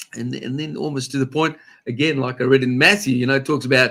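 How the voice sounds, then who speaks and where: A man's fairly high, bright, sharp voice with an Australian accent, fairly quick and with ordinary pitch variation, on a very clean recording with a silent background. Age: 60s. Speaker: pastor. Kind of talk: casual religious discussion.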